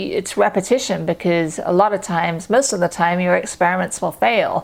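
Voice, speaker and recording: A woman with a slight English accent speaks in a fairly low pitch with ordinary pitch variation. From England, London. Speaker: freelance medical writer. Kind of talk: casual talk to camera.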